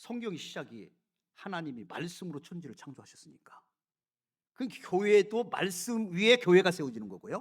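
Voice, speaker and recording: A man with a high pitch swings very widely in pitch and leaves long, frequent pauses. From South Korea. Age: 60s. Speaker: pastor. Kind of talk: sermon. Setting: church. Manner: emphatic, repetitive.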